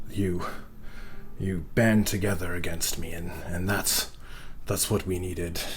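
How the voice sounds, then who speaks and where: Amid clear background noise, a man uses a put-on character voice with a very deep, low pitch, speaking fairly slowly with long, frequent pauses. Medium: actual play. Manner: halting, portentous.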